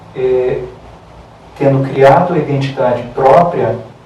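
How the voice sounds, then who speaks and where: A man's medium-pitched voice at a fairly slow pace, with noticeable background noise and audible room echo. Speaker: holistic therapy lecturer. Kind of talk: lecture.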